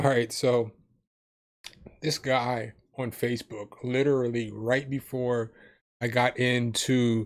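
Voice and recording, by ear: A man's voice at medium pitch, with little pitch movement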